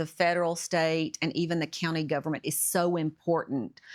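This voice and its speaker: A woman's very deep, low voice in a Tennessee accent, at a moderate pace, on a very clean recording with a silent background. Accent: Southern American (Tennessee). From Smyrna, Tennessee. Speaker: mayor. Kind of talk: podcast interview answer.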